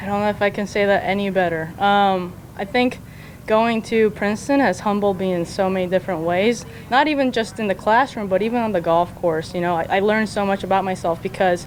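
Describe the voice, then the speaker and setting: Using a normal speaking voice, this woman talks fairly quickly at a medium pitch, her pitch varying in an ordinary way. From South Korea, then US from age eight. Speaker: professional golfer. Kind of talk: interview.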